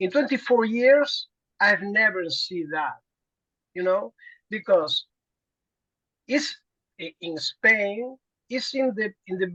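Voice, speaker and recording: Speaking very slowly with long, frequent pauses, a woman with a Spanish accent uses a fairly high pitch, lively intonation and big swings in loudness, all in a dry, close sound with no echo. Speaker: prison worker. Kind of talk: conference discussion. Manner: halting, many repetitions.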